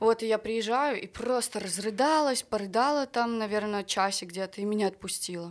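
At a moderate pace and with hardly any pauses, this is an unremarkable speaking voice with ordinary pitch variation. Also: woman, fairly high pitch for a woman. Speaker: singer. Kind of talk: casual chat.

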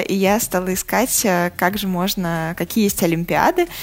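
This woman has an ordinary speaking voice with a medium pitch and ordinary pitch variation. She speaks at a moderate pace. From Russia, Saratov. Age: 30s. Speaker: magazine editor and journalist. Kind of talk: interview.

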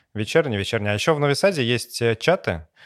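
An ordinary speaking voice from a man, medium in pitch, fairly quick and lively in intonation, on a very clean recording with a silent background. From Russia, Samara region. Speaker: game content studio co-owner. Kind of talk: casual chat.

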